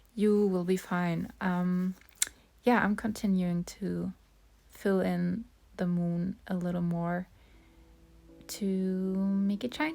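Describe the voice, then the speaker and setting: A woman with a dark, mellow tone and a medium pitch speaks at a very slow pace, using fairly even intonation and long, frequent pauses. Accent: non-native. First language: not English. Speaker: art tutorial creator. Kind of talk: tutorial voice-over. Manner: hesitant, many fillers.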